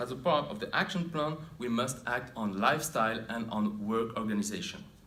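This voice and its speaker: Audible room echo surrounds a man whose medium-pitched voice makes very wide pitch swings. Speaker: occupational health researcher. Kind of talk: conference presentation. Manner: formal; halting.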